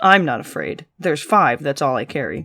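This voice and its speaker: In a put-on character voice, the speaker sounds raspy, with a low-to-middle pitch and a moderate pace. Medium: read story. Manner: prim, formal.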